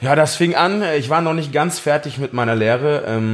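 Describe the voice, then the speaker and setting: Using a normal speaking voice, a man delivers his words fairly quickly, his pitch shifting in an ordinary way. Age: 30s. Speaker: farrier. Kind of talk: interview.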